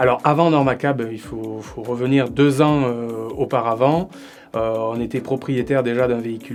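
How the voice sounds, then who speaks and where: A man's voice, with fairly even intonation, comes through over background music. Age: 30s. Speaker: entrepreneur. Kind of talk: business presentation interview. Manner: halting, frequent hesitations.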